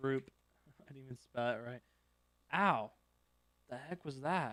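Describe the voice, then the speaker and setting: At a fairly slow pace, a man with a medium pitch and a bright, sharp tone talks with ordinary pitch variation and big swings in loudness. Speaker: live-streaming game server developer. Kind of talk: live coding stream. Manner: casual, thinking aloud.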